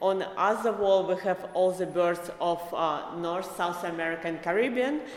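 A speaker with an Eastern European accent keeps a fairly even intonation. Noticeable background noise is present. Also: woman. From Belarus. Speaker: visual artist. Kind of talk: casual interview. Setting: podcast interview. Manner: halting, with fillers.

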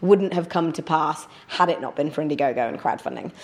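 In a British accent, a woman talks with a fairly low pitch. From northern England. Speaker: crowdfunding platform executive and tech presenter. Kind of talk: casual interview.

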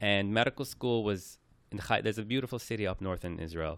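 In a very clean recording with a silent background, a man with a Persian accent talks very fast at a fairly low pitch with ordinary pitch variation. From Iran, raised in New York. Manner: talkative.

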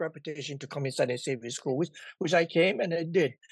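A man's fairly high voice at a very fast pace, with ordinary pitch variation over a quiet background. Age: 80s. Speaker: martial arts founder. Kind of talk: casual interview.

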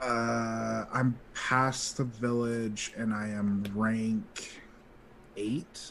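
A medium-pitched man at a very slow pace, with noticeable background noise. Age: 20s. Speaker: podcast producer. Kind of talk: casual chat. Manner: animated.

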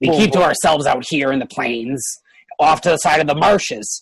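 A put-on character voice pitched low-to-middle. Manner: hesitant, casual, a bit nervous.

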